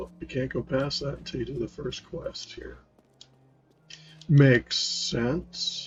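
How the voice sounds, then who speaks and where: A soft-spoken man talking at a very slow pace, with long, frequent pauses, big swings in loudness and noticeable background noise. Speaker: gaming youtuber. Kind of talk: gameplay commentary.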